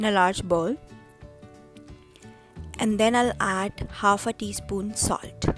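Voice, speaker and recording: With music in the background, a woman at medium pitch speaks at a very slow pace with fairly even intonation and long, frequent pauses. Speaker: home cook. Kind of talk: cooking tutorial.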